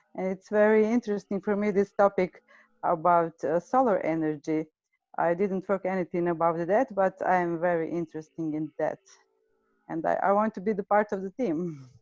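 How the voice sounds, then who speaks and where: With a Serbian accent, a woman speaks at a moderate pace and medium pitch with ordinary pitch variation, the sound dry and close with no echo over a quiet background. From Serbia, Vojvodina. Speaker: agricultural economist. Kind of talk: self-introduction in meeting. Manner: halting.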